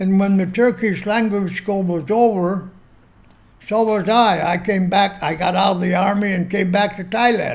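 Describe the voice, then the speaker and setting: In an American accent, a man speaks at a fairly slow pace. His high voice stays monotone, with flat intonation. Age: 80s+. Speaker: military veteran and expat. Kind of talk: interview, casual storytelling. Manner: halting.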